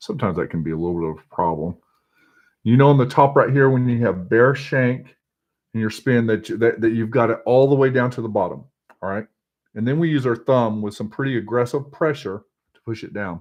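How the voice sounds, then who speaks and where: A man's medium-pitched voice with a Texas accent, lively intonation and big swings in loudness. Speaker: fly tier. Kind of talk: tutorial. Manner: halting.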